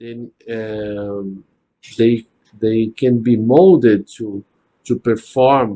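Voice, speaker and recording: A man with a non-native accent speaks at a very slow pace and a medium pitch. His dark, mellow tone carries ordinary pitch variation. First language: not English. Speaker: spiritist study group leader. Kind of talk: religious study discussion. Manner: halting, with frequent restarts.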